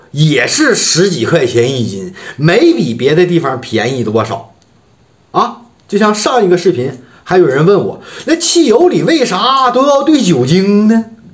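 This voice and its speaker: With a northeastern Chinese accent, a man speaks at a fairly slow pace, his pitch swinging very widely over a quiet background. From Harbin, northeast China. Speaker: vlogger. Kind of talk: casual talk to camera. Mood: wry, complaining about hometown economy. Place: home room. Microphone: phone near.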